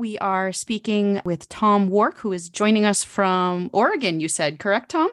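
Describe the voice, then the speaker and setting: In a normal speaking voice at medium pitch, a woman talks at a moderate pace with ordinary pitch variation and hardly any pauses, the sound dry and close with no echo and the background quiet. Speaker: radio podcast host. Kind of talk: casual interview.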